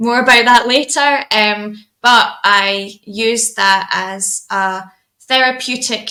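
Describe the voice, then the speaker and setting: The speaker is a woman, her tone bright and sharp. The pitch moves up and down in an ordinary way. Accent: Scottish. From Scotland, Edinburgh. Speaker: artist. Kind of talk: casual chat.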